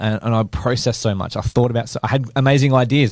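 Speaking at a fairly quick pace, a man has an Australian accent. His pitch is medium and his intonation fairly even. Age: 30s. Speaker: business owner, podcast co-host. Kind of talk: casual chat.

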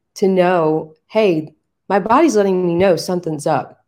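Here a woman has a plain, everyday voice, fairly low in pitch, at a moderate pace. The recording is very clean, with a silent background. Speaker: podcast co-host. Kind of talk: casual chat.

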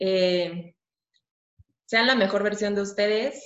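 In a normal speaking voice, a woman talks at a medium pitch and a fairly slow pace. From Mexico. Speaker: architecture student. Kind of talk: interview. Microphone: connection dropped briefly.

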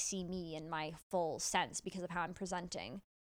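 This woman has an unremarkable speaking voice with fairly even intonation and a fairly slow pace. The recording is very clean, with a silent background. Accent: Canadian. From Canada, Toronto. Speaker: professional runner. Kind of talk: casual interview. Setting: studio. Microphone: new microphones.

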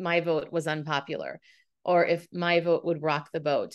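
Against a quiet background, a woman with an American accent speaks at a fairly slow pace. She has an unremarkable speaking voice with fairly low pitch. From US Midwest, Minneapolis. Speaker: communication coach and author. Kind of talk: interview. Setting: studio.

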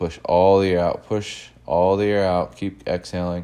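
Over a quiet background, a man talks at a moderate pace with a very deep, low pitch and a dark, mellow tone. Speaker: breathing instructor. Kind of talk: guided breathing exercise with cued instructions. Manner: short, rhythmic imperative cues paced to the breath; encouraging, coach-like pushing on each exhale.

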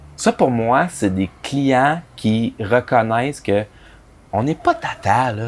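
With a Quebec accent, a man speaks at medium pitch with lively intonation. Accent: Québécois French. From Quebec, Abitibi-Témiscamingue. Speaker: advertising copywriter. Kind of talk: casual interview.

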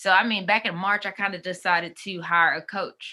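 A woman's fairly low, bright, sharp voice in a Southern US accent, with monotone, flat intonation and a very clean recording over a silent background. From US South, Mississippi. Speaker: life coach and consultant. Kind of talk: casual interview. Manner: conversational, many fillers.

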